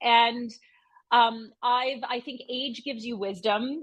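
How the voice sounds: A woman's fairly high, fairly bright voice at a slow pace with fairly even intonation.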